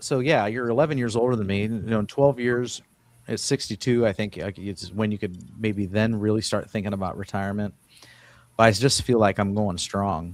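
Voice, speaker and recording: A man speaks at a fairly quick pace in a fairly low pitch. His pitch varies in an ordinary way, and he has a plain, everyday voice. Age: 50s. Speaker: podcast host, construction worker. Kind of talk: casual chat.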